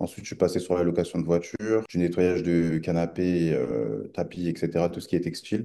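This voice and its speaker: A man with a very deep, low pitch and a dark, mellow tone talks at a fairly quick pace with hardly any pauses. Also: ordinary pitch variation. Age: 20s. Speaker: online seller giving testimonial. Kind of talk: interview testimony. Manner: hesitant, many fillers.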